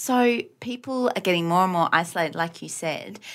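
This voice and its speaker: A woman with an Australian accent and medium pitch on a very clean recording with a silent background. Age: 30s. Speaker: podcast co-host. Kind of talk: casual chat.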